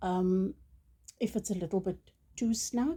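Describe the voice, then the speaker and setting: A woman with a South African accent speaks at a fairly slow pace, her tone dark and mellow. Her voice is somewhat breathy, with ordinary pitch variation. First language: Afrikaans. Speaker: crochet tutorial creator. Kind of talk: tutorial. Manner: hesitant, many ums and uhs.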